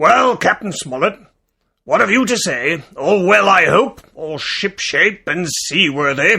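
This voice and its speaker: A man's put-on character voice, high-pitched, raspy, raised and projected, at a fairly slow pace. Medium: read story.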